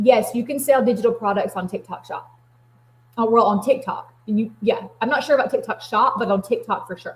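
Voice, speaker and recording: Fairly quick and animated, a woman with an American accent speaks at a fairly high pitch. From US South. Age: 40s. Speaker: craft business livestreamer. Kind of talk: live stream chat with viewers. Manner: fast.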